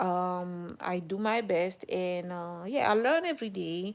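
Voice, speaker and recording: With a French accent, a woman speaks very slowly at a medium pitch, her intonation fairly even. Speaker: live streamer. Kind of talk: casual live stream chat. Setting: live stream. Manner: halting, many fillers and restarts.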